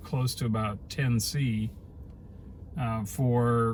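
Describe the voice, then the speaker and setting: A man speaks very slowly at a medium pitch. His voice is somewhat breathy, with fairly even intonation. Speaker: electric vehicle driver and vlogger. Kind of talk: in-car travel vlog narration. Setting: in a car. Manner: halting, with fillers.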